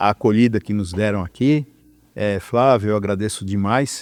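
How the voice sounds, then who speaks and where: The sound is dry and close, with no echo. A man speaks with ordinary pitch variation. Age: 60s. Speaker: electrical engineer. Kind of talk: interview. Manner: halting, many fillers.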